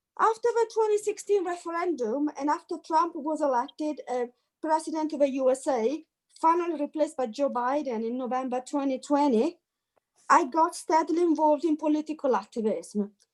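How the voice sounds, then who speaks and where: A woman with an Italian accent, high in pitch, lively in intonation and fairly quick in pace. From Italy. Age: 50s. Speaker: activist. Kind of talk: testimony. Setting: video call.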